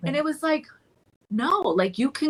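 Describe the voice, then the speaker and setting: A woman with a Colombian accent, somewhat breathy, with lively intonation at a moderate pace. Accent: Colombian Spanish accent, noticeable at times. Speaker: therapist in private practice. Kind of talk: podcast panel discussion. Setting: podcast recording. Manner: animated, with many fillers and repeated words.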